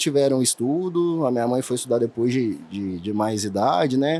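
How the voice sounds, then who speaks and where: A man's medium-pitched voice with a Minas Gerais accent and lively intonation, over noticeable background noise. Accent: mineiro. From Minas Gerais, Brazil (interior). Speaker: dentist, implant surgeon. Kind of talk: podcast interview.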